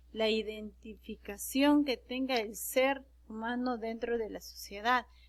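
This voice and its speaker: Speaking in an Andean accent, a woman talks at a very slow pace in a high pitch. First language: Quechua (speaking Spanish). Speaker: secondary school teacher. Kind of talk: online class lecture. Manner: halting, with fillers and self-corrections.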